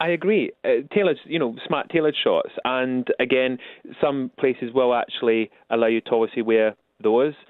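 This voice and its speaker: A man with a Scottish accent talks at medium pitch with ordinary pitch variation. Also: moderate pace. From Scotland. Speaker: royal butler and etiquette expert. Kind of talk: radio interview. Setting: phone call.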